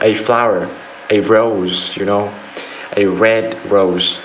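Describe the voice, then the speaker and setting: Amid noticeable background noise and audible room echo, a man with a Vietnamese accent speaks very slowly at a fairly low pitch in a monotone, flat delivery. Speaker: IELTS speaking test candidate. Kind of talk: mock speaking exam answers. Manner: halting, with repetitions and fillers.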